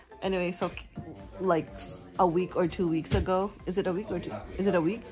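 Clear music plays in the background as a woman speaks. Her pace is fairly quick and her intonation fairly even. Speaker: family vlogger. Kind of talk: casual vlog chat. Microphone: phone near.

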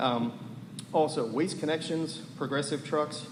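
A man with an American accent speaks at a moderate pace with ordinary pitch variation. Audible room echo surrounds his voice. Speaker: public commenter, waste company representative. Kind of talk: public comment at council meeting. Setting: town council meeting.

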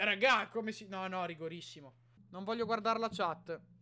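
Shouting at a fairly quick pace, a man projects a bright, sharp tone. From Italy. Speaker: YouTuber reacting to matches as a fan. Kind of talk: live sports commentary. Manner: animated, excitable, rapid-fire play-by-play with shouting and repeated names; emotional fan, exclaiming and pleading. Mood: excited, partisan. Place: home room. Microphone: studio mic.

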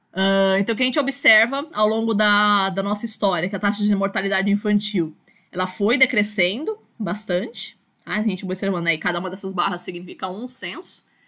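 A woman with a medium pitch talks at a fairly quick pace. Her tone is bright and sharp, and her pitch varies in an ordinary way. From Brazil, São Paulo. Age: 30s. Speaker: university lecturer. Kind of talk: online lecture. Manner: casual, filler-heavy with repetitions.

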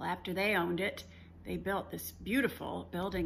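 A woman talks at a fairly quick pace. Light background noise can be heard. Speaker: travel vlogger. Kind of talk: casual vlog chat. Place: home room. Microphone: phone near.

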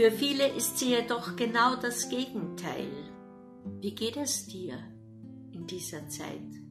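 The pace is very slow, with long, frequent pauses and big swings in loudness. The tone is calm, and music plays in the background. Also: woman. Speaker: meditation reader. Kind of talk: advent meditation reading. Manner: calm, soft-spoken.

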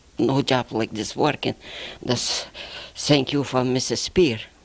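A woman with a Lithuanian accent, very deep, low pitch, fairly even intonation, very slow pace and long, frequent pauses. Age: 70s. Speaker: postwar immigrant. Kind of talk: interview. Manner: halting. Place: office. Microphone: handheld.

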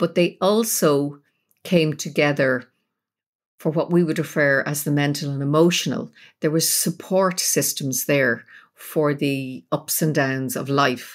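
A woman in a Dublin accent with a very deep, low pitch, ordinary pitch variation and fairly slow pace on a very clean recording with a silent background. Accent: Irish (Dublin). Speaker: psychotherapist and spiritual teacher. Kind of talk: interview.

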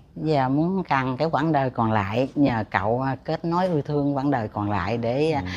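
A woman talks at a fairly slow pace with hardly any pauses. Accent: Southern Vietnamese. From southern Vietnam, An Giang. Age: 50s. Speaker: matchmaking show participant. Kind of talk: interview. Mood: cheerful, laughing. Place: stage.

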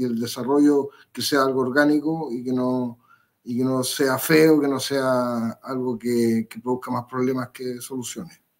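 Against a quiet background, a man talks at a fairly slow pace with fairly even intonation. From Chile. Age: 50s. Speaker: political candidate; candidate. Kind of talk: interview. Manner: halting. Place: home room.

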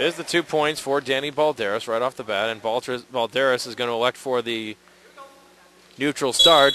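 A man speaks at a moderate pace with ordinary pitch variation. The sound is dry with no echo, and there is noticeable background noise. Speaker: sports commentator. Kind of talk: live wrestling play-by-play commentary. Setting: gym broadcast, online webcast. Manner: energetic but even-toned. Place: hall.

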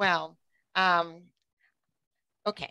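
This woman's voice has a bright, sharp tone. The background is quiet. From Brooklyn, New York City; New York City. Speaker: event organizer; online meeting host. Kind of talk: casual chat; meeting host talk. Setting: video call. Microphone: headset.

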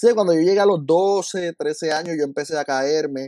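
A man's fairly high-pitched voice with a dark, mellow tone and ordinary pitch variation, at a moderate pace, in a dry sound with no echo against a quiet background. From Puerto Rico. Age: 30s. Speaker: school counselor and lay minister; lay minister. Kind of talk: testimony. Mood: warm, grateful. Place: home room. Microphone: video call.

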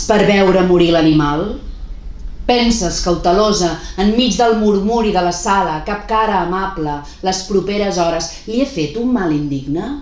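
Audible room echo surrounds a woman of medium pitch. She speaks at a fairly slow pace with lively intonation. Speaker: poet reading her own work. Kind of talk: poetry reading, spoken word. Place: home room. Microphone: phone near.

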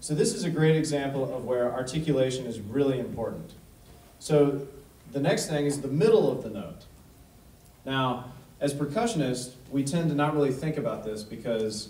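A man's somewhat breathy voice with a dark, mellow tone, moderate pace, and audible room echo. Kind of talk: lecture. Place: hall.

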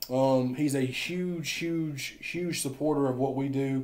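A man's slightly mellow tone at a slow pace. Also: medium pitch for a man, fairly even intonation.

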